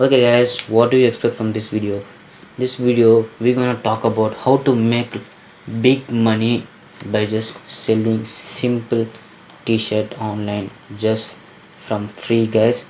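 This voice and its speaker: A non-native accent over noticeable background noise. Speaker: online business vlogger. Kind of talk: screen-recorded tutorial talk. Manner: casual, enthusiastic.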